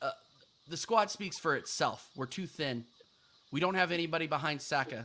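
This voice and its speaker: Bright and sharp in tone, a man's voice carries an American accent and ordinary pitch variation. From United States. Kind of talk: casual live-stream football talk show.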